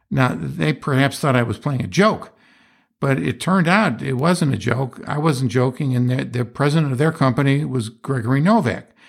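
In a Western New York accent, a man at a medium pitch talks at a moderate pace with lively intonation and vocal fry, on a very clean recording with a silent background. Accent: Western New York American. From US, Rochester New York area. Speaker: philosophy podcast host, retired businessman. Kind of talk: solo monologue lecture. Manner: halting, frequent repetitions.

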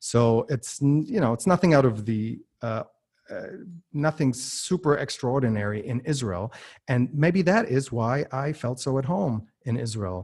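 Male voice at a medium pitch with an American accent, somewhat breathy, lively in intonation, at a fairly slow pace on a very clean recording with a silent background. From US and Germany. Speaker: entrepreneur and podcast host. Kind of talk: interview. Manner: many filler words and repetitions.

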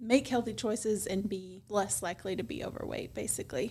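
At a moderate pace, a woman speaks in a Tennessee accent. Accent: Southern US (Tennessee). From West Tennessee (Milan). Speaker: pediatrician. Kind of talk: casual interview. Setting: studio.

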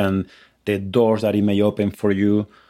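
A man speaks with a Spanish accent at a fairly low pitch. The recording is very clean, with a silent background. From Spain. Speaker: Spanish lecturer and doctoral student. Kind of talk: casual interview conversation. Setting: home basement recording during pandemic. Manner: passionate, encouraging.

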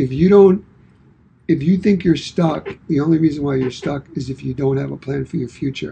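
Here a man with an American accent speaks in a dark, mellow tone that is somewhat breathy. His pitch varies in an ordinary way. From Brooklyn, New York. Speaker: podcast co-host, fitness and wellness coach. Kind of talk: casual chat.

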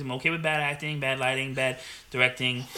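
A man speaks at a very fast pace with noticeable background noise. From New Jersey. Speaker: podcast host. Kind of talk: casual chat.

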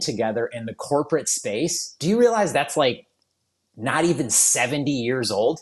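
With an unremarkable speaking voice, a man talks at a moderate pace in a fairly high pitch, his intonation lively. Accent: American. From southeastern Michigan, US. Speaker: wedding photographer. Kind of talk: casual chat.

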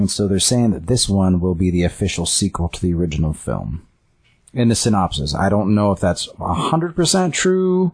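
Lively intonation from a man at a moderate pace. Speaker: podcast co-host. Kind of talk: casual chat.

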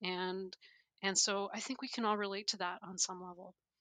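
Against a quiet background, a woman with a Canadian accent talks at a moderate pace in a bright, sharp tone with monotone, flat intonation. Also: dry, close sound with no echo. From Canada. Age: 40s. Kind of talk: interview conversation.

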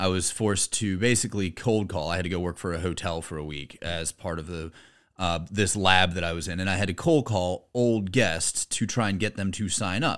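Captured on a very clean recording with a silent background, a man speaks at a moderate pace with a very deep, low pitch and ordinary pitch variation. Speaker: podcast host. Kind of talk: casual chat.

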